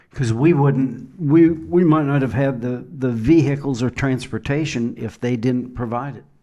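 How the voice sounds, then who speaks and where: Medium-pitched male voice with a dark, mellow tone, ordinary pitch variation, a moderate pace, hardly any pauses and big swings in loudness. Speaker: podcast host. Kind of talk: podcast interview host.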